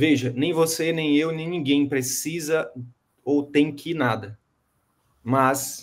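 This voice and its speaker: A man at a fairly high pitch and a fairly slow pace. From Brazil, interior of Piauí. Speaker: medical business coach. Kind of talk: coaching session. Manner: animated.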